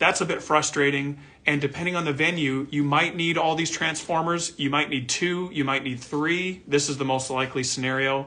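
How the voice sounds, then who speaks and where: A man with a fairly high pitch and a bright, sharp tone speaks at a moderate pace. His intonation is fairly even, and he leaves hardly any pauses. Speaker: audio gear company owner explaining products. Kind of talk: tutorial. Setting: video recording with camera and diagrams. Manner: casual, conversational. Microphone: camera may be distorting pitch.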